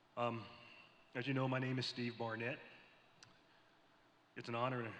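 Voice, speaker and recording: Medium pitch from a man, with audible room echo. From US South, Tennessee (Columbia). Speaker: navy admiral. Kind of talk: prepared speech to panel audience. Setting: stage with audience at convention. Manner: formal.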